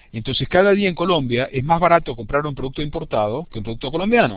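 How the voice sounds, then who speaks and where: Fairly high in pitch, a man talks at a fairly quick pace with lively intonation. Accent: Argentine. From Argentina. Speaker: university lecturer. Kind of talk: lecture. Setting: video conference. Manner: fast.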